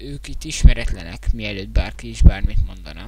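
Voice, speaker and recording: A man with a very deep, low pitch amid noticeable background noise. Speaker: gaming YouTuber. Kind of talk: casual vlog thank-you video. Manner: halting, many filler sounds. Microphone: quiet, mic held very close.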